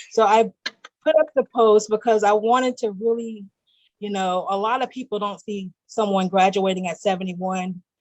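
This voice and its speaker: A woman with an American accent and a plain, everyday voice speaks at a fairly slow pace, medium in pitch, with ordinary pitch variation. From US South. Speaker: guest, graduate student. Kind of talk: interview.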